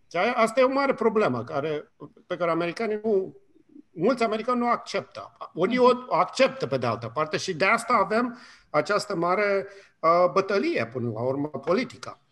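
This man speaks at a high pitch and a fairly quick pace. His pitch swings very widely. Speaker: communication professor. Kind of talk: radio interview. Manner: hesitant, many fillers.

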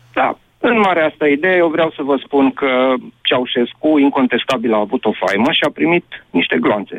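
Lively intonation marks this man's fairly high voice, which holds very even loudness at a moderate pace. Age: 50s. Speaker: radio caller. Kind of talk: phone-in discussion.

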